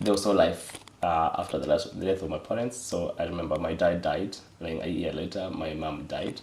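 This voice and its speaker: With a Kenyan accent, the speaker talks at a fairly quick pace with ordinary pitch variation over noticeable background noise. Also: man, very deep, low pitch for a man. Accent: Kenyan (Luo) English. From Kenya, Homa Bay County. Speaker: data firm executive. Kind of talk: interview testimony. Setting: studio, on camera. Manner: halting, many fillers.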